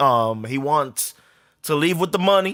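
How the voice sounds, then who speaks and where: On a very clean recording with a silent background, a man with a New York accent speaks at a moderate pace in a bright, sharp tone, with ordinary pitch variation. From New York, Harlem. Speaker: podcast host. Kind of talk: casual sports talk monologue. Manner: casual, profane.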